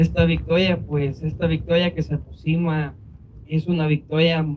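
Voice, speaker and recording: Somewhat breathy and at a moderate pace, a man speaks with ordinary pitch variation. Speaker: immigrant facing deportation case. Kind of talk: speech at a vigil.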